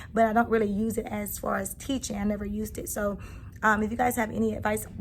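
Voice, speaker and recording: Speaking at a very fast pace, a woman sounds somewhat breathy. Her fairly high voice stays monotone and flat. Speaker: kindergarten teacher and vlogger. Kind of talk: casual vlog. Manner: hurried.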